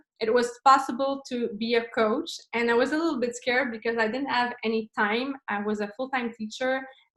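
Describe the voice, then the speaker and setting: A woman with a Quebec accent speaks at a high pitch and moderate pace. Her pitch varies in an ordinary way. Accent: Québécois French accent in English. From Quebec, Montreal. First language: French. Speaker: fitness coach and business owner. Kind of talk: online presentation. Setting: video call. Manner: halting, searching for words.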